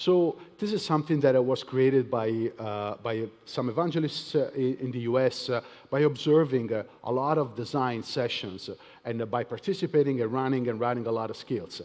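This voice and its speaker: A man with a medium-pitched voice talks at a fairly quick pace and with ordinary pitch variation, recorded very cleanly against a silent background. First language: not English. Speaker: tech evangelist. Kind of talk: conference talk. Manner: hesitant, many fillers.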